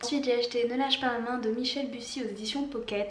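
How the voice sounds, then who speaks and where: A woman speaks at a very fast pace with a fairly high pitch. Audible room echo and noticeable background noise are present. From Réunion. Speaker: book YouTuber. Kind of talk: casual vlog monologue. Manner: hesitant, many fillers.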